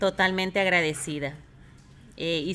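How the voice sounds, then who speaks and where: Here a woman with a fairly low pitch uses a plain, everyday voice, speaking at a moderate pace with fairly even intonation. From Ecuador. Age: 40s. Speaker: host's mother. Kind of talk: interview.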